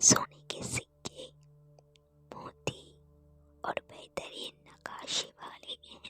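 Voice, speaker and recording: A woman whispering over background music, with long pauses coming often. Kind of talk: ASMR story narration. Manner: soft, slow.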